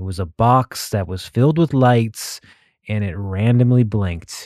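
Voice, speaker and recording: This man speaks at a medium pitch with an American accent and a dark, mellow tone. The sound is dry and close with no echo, over a quiet background. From Texas. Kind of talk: casual monologue.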